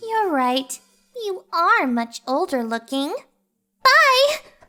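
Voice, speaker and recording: A woman's put-on character voice, extremely high and swinging very widely in pitch, at a very slow pace. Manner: upbeat.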